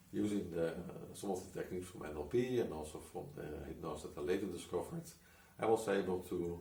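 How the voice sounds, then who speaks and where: Very deep, low male voice, somewhat breathy, at a fairly quick pace with fairly even intonation and audible room echo. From Netherlands. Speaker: hypnotist and coach. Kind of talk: personal story monologue. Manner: halting, many restarts.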